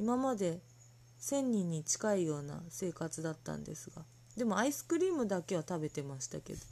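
Somewhat breathy with a dark, mellow tone, this voice moves at a moderate pace through very wide pitch swings and big swings in loudness. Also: woman, fairly low pitch for a woman. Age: 30s. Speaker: podcast host. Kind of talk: casual chat.

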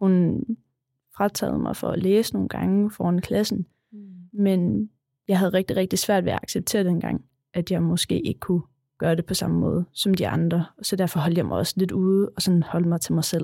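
A woman talks at a moderate pace with fairly even intonation and a fairly low pitch. It is a plain, everyday voice, recorded with a dry, close sound and no echo. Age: 20s. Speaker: special school worker. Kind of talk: interview. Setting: studio.

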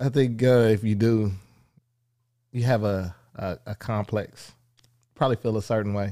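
A man speaks in a dark, mellow tone with fairly even intonation. Long, frequent pauses break up his speech on a very clean recording with a silent background. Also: fairly low pitch for a man, moderate pace. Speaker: podcast co-host. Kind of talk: casual chat.

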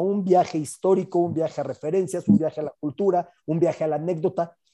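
Over a quiet background, a man speaks fairly quickly in a high pitch. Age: 40s. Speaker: sports journalist and book prologue writer. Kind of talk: casual chat.

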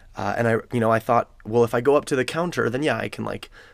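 At a very fast pace, a man speaks with vocal fry and ordinary pitch variation, in a very clean recording with a silent background. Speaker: therapist and podcast host. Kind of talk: solo podcast monologue. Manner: laughs occasionally.

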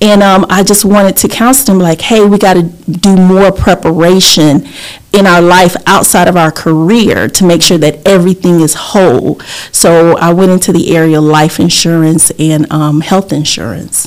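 This woman talks at a moderate pace with a Southern US accent. Her loudness holds very even throughout. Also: fairly low pitch for a woman, ordinary pitch variation. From US South. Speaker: insurance agent and community advocate. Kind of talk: casual interview.

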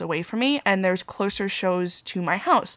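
With lively intonation and an American accent, a woman speaks at medium pitch in a dry, close recording with no echo. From Long Island, New York. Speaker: podcast host. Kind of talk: solo podcast monologue. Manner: casual, conversational.

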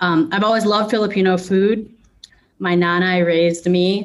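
A woman with an unremarkable speaking voice talks at medium pitch. Her pace is moderate and her intonation fairly even. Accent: American. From Chicago suburbs, US Midwest. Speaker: clothing brand founder. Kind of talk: casual interview.

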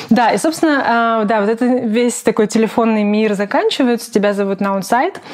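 Over noticeable background noise, a woman speaks at a fairly quick pace with a fairly high pitch and ordinary pitch variation. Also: hardly any pauses. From Ukraine, Zaporizhzhia. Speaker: product designer. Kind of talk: interview.

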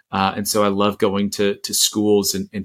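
A man with an American accent and a fairly low pitch at a moderate pace, on a very clean recording with a silent background. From Florida, US. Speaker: poet and speaker. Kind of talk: casual interview chat. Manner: halting, many fillers and restarts.

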